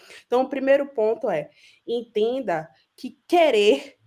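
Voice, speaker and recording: A woman talks with a Bahian accent. Her pitch swings very widely. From Brazil, Bahia (Salvador). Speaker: business executive and entrepreneur. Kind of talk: panel discussion. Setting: video call.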